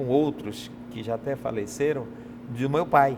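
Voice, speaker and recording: A man's fairly slow speech comes through noticeable background noise. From Brazil, Pará (Belém). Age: 50s. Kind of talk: interview testimony.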